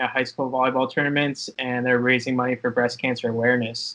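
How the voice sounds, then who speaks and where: In an American accent, a man speaks at a medium pitch. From Pittsburgh, Pennsylvania. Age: 20s. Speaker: sports video producer. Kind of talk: interview.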